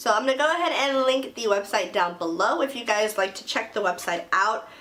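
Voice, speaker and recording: Over noticeable background noise, a woman talks at a fairly quick pace. Her fairly high voice has lively intonation. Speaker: beauty youtuber. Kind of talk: makeup review and tutorial. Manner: fast; animated.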